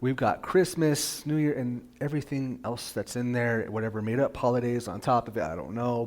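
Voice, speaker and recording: Soft-spoken, a man talks at a fairly quick pace with ordinary pitch variation. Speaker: pastor. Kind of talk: sermon. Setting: church with PA system and livestream.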